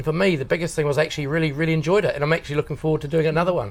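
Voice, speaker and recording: A man is mumbling at a very fast pace. His pitch is fairly high. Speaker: builder. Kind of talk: testimonial interview.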